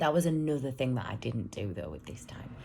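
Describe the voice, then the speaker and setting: A woman speaks with a British accent. Her tone is dark and mellow. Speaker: vlogger, single mum. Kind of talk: casual vlog monologue. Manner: rambling, hesitant with ums; loud at times.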